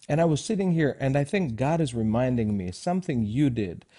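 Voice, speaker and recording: A very fast, fairly high male voice, dark and mellow in tone, with lively intonation. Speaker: co-host, minister. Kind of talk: group discussion. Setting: studio. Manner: halting.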